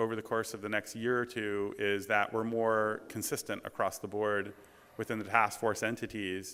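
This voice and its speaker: In a very clean recording with a silent background, a man speaks at a moderate pace with a bright, sharp tone. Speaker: conference presenter. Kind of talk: conference talk.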